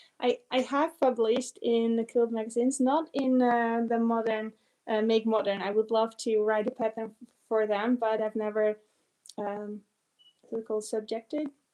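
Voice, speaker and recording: With a non-native accent, a woman speaks at a fairly high pitch in a dark, mellow tone and monotone, flat intonation. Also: moderate pace. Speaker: quilting teacher and pattern designer. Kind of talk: live Q&A. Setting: home studio, livestream. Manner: halting, many fillers.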